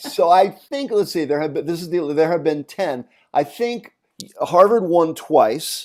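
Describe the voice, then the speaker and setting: A man with a high pitch speaks with lively intonation. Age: 60s. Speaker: songwriter and music producer. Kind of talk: interview.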